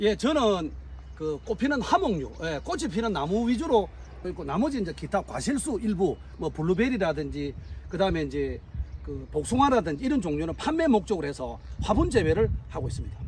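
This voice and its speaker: This man speaks fairly quickly as noticeable background noise carries on. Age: 60s. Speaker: tree farmer and horticulture instructor. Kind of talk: on-site interview. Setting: outdoors on farm. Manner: halting, many fillers.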